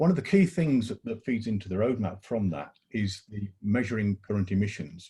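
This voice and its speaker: Somewhat breathy and dark, mellow in tone, a man talks at a fairly quick pace and a fairly low pitch. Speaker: college sustainability staff. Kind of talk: online panel discussion.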